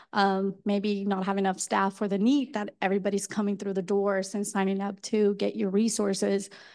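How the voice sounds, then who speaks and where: A woman speaks with a Colombian accent at a medium pitch and a moderate pace. Her intonation is monotone and flat, with hardly any pauses. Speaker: mental health educator. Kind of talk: panel presentation.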